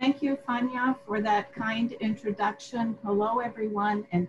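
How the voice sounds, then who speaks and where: Here is a woman with a fairly high pitch and an unremarkable speaking voice. She speaks at a fairly slow pace. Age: 60s. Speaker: professor. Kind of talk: conference talk. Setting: video call.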